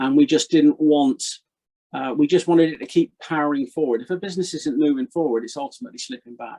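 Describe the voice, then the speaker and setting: In a dry, close sound with no echo, a man speaks very fast at a fairly high pitch, his dark, mellow tone carrying lively intonation and big swings in loudness. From Gloucestershire, England. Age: 60s. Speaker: retired haulage business owner. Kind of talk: interview.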